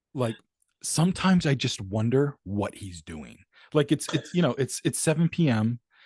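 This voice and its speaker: A man at medium pitch speaks with an American accent in a somewhat breathy voice at a moderate pace, with very wide pitch swings and big swings in loudness, in a dry, close sound with no echo. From Maine, US. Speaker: rapper, producer and author. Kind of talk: casual interview chat.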